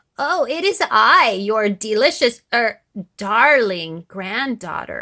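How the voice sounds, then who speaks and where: A female-sounding, fairly high-pitched put-on character voice speaks at a very slow pace. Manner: sweetly feigning.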